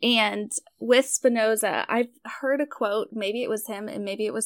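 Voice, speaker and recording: An unremarkable speaking voice from a woman, fairly high in pitch, at a fairly slow pace with fairly even intonation, in a very clean, dry, close recording with a silent background and no echo. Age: 20s. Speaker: tarot hobbyist and web designer. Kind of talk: casual chat.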